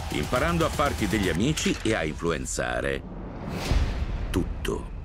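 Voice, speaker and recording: A man's voice over noticeable background noise. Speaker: dubbing narrator. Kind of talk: satirical documentary narration in a trailer. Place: studio.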